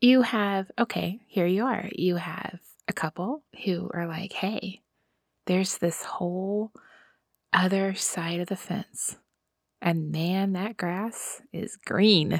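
The delivery comes at a very slow pace. Pitch varies in an ordinary way. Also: woman. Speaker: podcast host. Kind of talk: casual chat.

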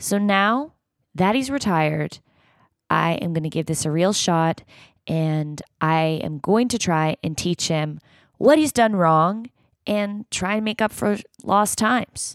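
In a very clean recording with a silent background, a woman with an unremarkable speaking voice talks at a medium pitch with lively intonation, the sound dry and close with no echo. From Canada, Toronto. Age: 30s. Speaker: podcast host. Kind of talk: casual chat; video diary monologue.

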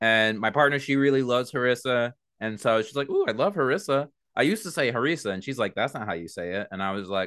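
Over a quiet background, a man talks at a very fast pace. His pitch sits in the medium range, and his intonation is lively. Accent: American. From New York, Long Island. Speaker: podcast host, guest host. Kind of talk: casual chat.

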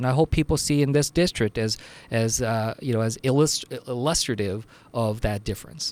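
In an ordinary speaking voice, a man talks at a medium pitch with ordinary pitch variation, the sound dry and close with no echo. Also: moderate pace. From New Jersey. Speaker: congressman. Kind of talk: interview.

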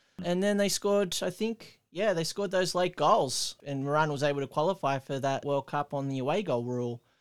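Talking at a fairly quick pace with hardly any pauses, a man with an Australian accent and a fairly high pitch shows ordinary pitch variation in dry, close sound with no echo. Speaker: podcast host. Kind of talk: casual chat. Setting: remote call.

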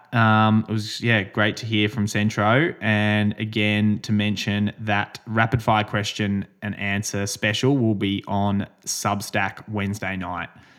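A man with an Australian accent talks fairly slowly at a fairly low pitch, in a very clean recording with a silent background. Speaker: podcast host and amateur runner. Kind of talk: casual chat.

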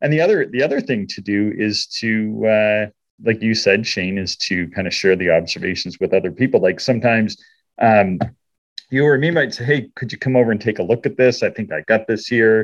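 Against a quiet background, a man with a Canadian accent uses an ordinary speaking voice, with medium pitch, ordinary pitch variation and a fairly quick pace. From Canada. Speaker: amateur astronomer podcast host. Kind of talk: casual chat. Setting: outdoors.

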